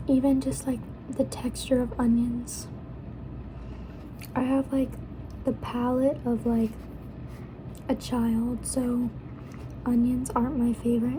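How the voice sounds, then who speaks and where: Over noticeable background noise, a soft-spoken woman with a high pitch talks very slowly in a flat monotone, leaving long, frequent pauses. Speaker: student. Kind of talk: ASMR eating and casual ramble to camera.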